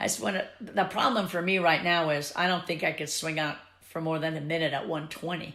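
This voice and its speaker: Here a woman speaks at a fairly low pitch in a bright, sharp tone. Her pitch variation is ordinary, and there is audible room echo. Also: fairly quick pace. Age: 70s. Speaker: swing dance teacher. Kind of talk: interview.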